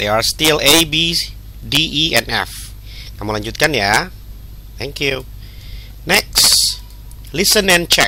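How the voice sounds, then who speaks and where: A man speaks in an Indonesian accent at a fairly slow pace. He leaves long, frequent pauses, and noticeable background noise can be heard. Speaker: English teacher. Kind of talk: lesson tutorial. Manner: halting.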